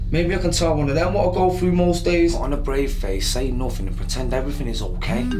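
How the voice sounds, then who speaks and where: Over clear background music, a man talks very fast with hardly any pauses. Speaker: spoken word poet. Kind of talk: spoken word poetry performance. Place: bathroom.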